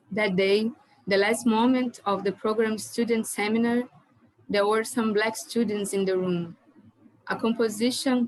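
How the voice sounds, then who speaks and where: Speaking at a fairly slow pace with a Brazilian Portuguese accent, a woman uses a fairly high voice with fairly even intonation. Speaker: doctoral student panelist. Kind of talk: conference presentation. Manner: halting.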